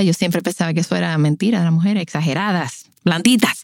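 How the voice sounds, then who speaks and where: A woman with a Dominican accent speaks very fast in an animated tone, her pitch fairly low. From Dominican Republic, La Romana. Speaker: podcast host and postpartum doula. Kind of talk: personal storytelling.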